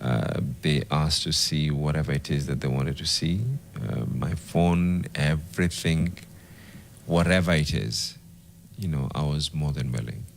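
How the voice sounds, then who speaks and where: Soft-spoken and very deep, a man talks at a moderate pace with ordinary pitch variation against noticeable background noise. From Kenya, Mombasa. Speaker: politician. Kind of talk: interview. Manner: hesitant.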